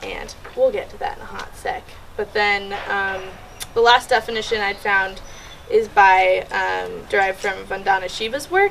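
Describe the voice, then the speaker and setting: A woman speaks over noticeable background noise. Her loudness swings widely from moment to moment. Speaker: student presenter. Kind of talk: classroom presentation. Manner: fast; casual, many fillers like 'like' and 'um'.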